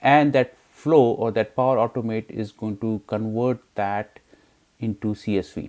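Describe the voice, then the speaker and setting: The speaker uses a normal speaking voice at a fairly slow pace. The intonation is fairly even. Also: man, medium pitch for a man. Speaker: software tutorial creator. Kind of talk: screen-recorded tutorial. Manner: casual with many fillers.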